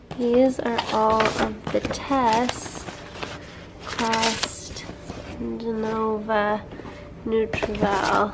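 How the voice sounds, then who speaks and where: In a recording with noticeable background noise and audible room echo, a woman at a fairly high pitch speaks very slowly in a monotone, flat way with long, frequent pauses. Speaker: health vlogger and functional medicine coach. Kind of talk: casual vlog.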